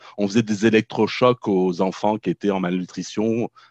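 A man with a Norman accent speaks at a moderate pace. The sound is dry and close with no echo, set against a quiet background. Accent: French, Norman rather than banlieue. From France, Normandy (Caen). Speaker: therapist and social educator. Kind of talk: casual interview.

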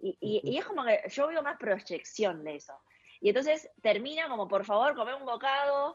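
Speaking at a moderate pace, a woman with a high pitch makes very wide pitch swings. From China, then Argentina from age nine. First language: Chinese (speaking Spanish). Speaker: cook and food influencer. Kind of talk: casual interview.

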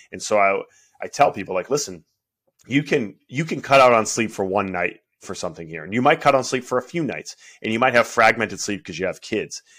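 A man speaks in a plain, everyday voice at a medium pitch and a fairly quick pace, his intonation lively and his loudness swinging widely, on a very clean recording with a silent background. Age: 30s. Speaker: strength coach and massage therapist. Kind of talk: casual chat.

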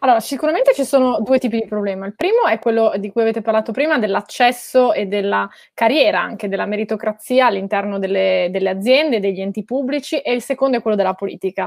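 A very fast pace in a dry, close sound with no echo. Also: woman, fairly high pitch for a woman, ordinary pitch variation. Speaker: journalist and author, former city councillor. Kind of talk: panel discussion.

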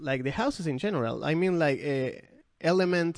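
A man with a Spanish accent talks at a moderate pace with ordinary pitch variation against a quiet background. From Argentina. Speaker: podcast host. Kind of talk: casual chat.

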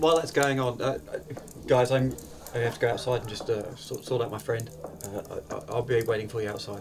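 Over music in the background, a man talks at a fairly quick pace with long, frequent pauses. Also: medium pitch for a man, ordinary pitch variation. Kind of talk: casual in-character roleplay, bantering.

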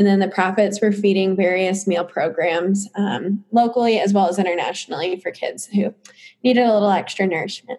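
This woman has a normal speaking voice with an American accent and medium pitch. She talks at a fairly quick pace with fairly even intonation. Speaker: entrepreneur. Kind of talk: casual interview.

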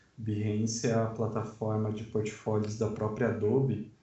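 Fairly slow, somewhat breathy male speech, fairly low in pitch for a man, with audible room echo. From Sorocaba, São Paulo state, Brazil. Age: 20s. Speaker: designer and book layout artist. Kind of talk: casual chat.

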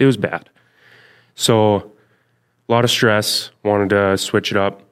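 A man speaks with an American accent and fairly even intonation. The recording is very clean with a silent background and a dry, close sound with no echo. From Minnesota (Thief River Falls). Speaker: real estate agent, former paramedic, podcast co-host. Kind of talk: casual chat.

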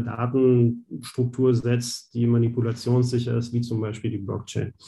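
Somewhat breathy and with a dark, mellow tone, a man at medium pitch speaks at a moderate pace with monotone, flat intonation. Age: 30s. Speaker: banking innovation specialist. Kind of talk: interview.

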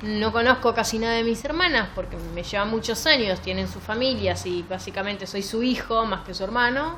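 A woman speaks at a moderate pace with ordinary pitch variation and a fairly high pitch. The room echo is audible, and background noise is noticeable. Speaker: book podcast host. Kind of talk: casual chat.

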